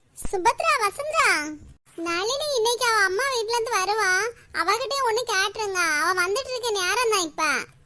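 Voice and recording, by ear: In a cartoonish character voice, a woman speaks at an extremely high pitch with lively intonation. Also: moderate pace.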